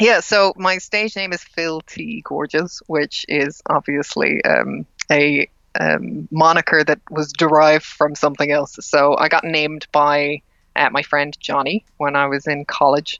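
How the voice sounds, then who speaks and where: The speaker has an Irish accent. The pace is fairly slow. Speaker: drag king and emcee. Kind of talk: casual interview chat. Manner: hesitant with fillers.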